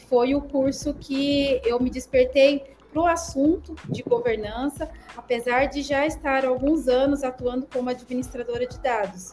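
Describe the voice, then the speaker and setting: Amid noticeable background noise, a woman at a high pitch talks at a fairly slow pace with fairly even intonation and hardly any pauses. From Brazil, Paraná. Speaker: data professional. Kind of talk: casual chat.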